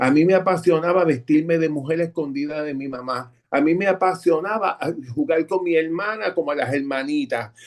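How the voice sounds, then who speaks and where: At a moderate pace, a man uses a normal speaking voice with a fairly high pitch. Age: 60s. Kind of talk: testimony.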